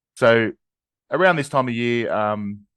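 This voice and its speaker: Against a quiet background, a man with an Australian accent speaks at medium pitch with ordinary pitch variation, the sound dry and close with no echo. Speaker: podcast co-host. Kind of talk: casual chat. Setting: video call. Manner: hesitant, many fillers. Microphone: new microphone.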